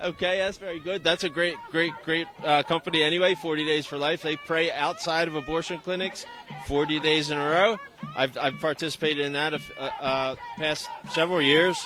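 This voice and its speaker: A man with an American accent speaks fairly quickly at a fairly high pitch with fairly even intonation. Noticeable background noise is audible. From Philadelphia, US. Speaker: street reporter. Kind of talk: live street interviews. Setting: outdoors at a protest march.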